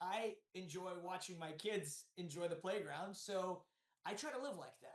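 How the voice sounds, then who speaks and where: A man with an American accent speaks loudly and energetically in a high pitch. His pace is fairly slow. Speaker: real estate developer. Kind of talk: podcast interview. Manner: loud, energetic.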